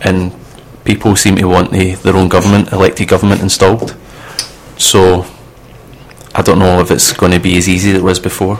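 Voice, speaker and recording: Very deep, low male voice, flat and monotone, with very even loudness, long, frequent pauses and noticeable background noise. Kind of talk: casual banter between co-hosts on a student radio show. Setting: radio studio. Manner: opinionated, sometimes indignant.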